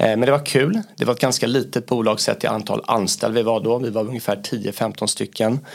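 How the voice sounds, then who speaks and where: A man with an unremarkable speaking voice talks at medium pitch. His pace is fairly quick and his intonation fairly even. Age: 30s. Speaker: business area manager. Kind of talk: interview.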